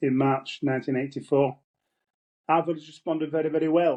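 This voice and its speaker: A man's monotone, flat delivery in a Yorkshire accent. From northern England, Wakefield area (Yorkshire). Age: 70s. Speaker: former miner and trade unionist. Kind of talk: interview testimony. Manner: halting, repeats words.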